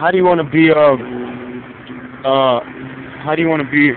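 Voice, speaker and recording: With a fairly high pitch and fairly even intonation, a man talks at a moderate pace against noticeable background noise. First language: Brazilian Portuguese. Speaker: vlogger. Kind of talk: casual vlog monologue.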